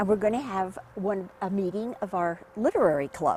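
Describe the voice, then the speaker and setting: Noticeable background noise accompanies a woman speaking at a moderate pace with an American accent. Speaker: hall of fame inductee. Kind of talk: documentary interview, reminiscing. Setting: on location, home visit.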